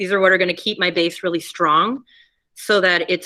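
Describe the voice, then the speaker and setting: Bright and sharp in tone, a woman's voice sits at a fairly low pitch. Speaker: ceramics teacher. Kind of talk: classroom demonstration. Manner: fast.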